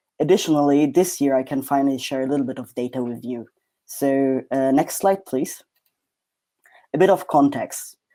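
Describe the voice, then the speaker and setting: This man talks at a moderate pace in a non-native accent, his pitch fairly high with ordinary variation. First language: not English. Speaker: PhD researcher. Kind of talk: academic presentation.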